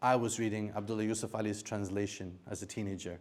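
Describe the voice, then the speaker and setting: A man with a non-native accent speaks at a fairly quick pace. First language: not Arabic. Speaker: Quran scholar and translator. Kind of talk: lecture. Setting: university seminar with audience.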